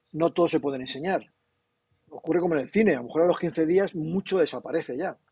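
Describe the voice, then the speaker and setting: With a dark, mellow tone and a fairly high pitch, a man speaks at a fairly quick pace with ordinary pitch variation. The sound is dry and close, with no echo. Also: long, frequent pauses. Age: 60s. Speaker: comics publisher. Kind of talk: casual interview. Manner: animated.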